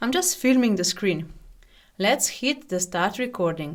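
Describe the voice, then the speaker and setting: In a very clean recording with a silent background, a woman with a non-native accent speaks at a moderate pace. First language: not English. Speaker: software tutorial YouTuber. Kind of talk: tutorial. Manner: scripted, read from prepared text.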